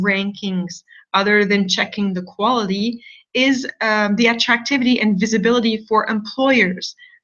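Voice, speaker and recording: A woman with a non-native accent speaks at a moderate pace with fairly even intonation. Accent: non-French, foreign accent noted by herself. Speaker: university admissions representative. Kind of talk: online information session presentation. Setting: online video broadcast with screen share.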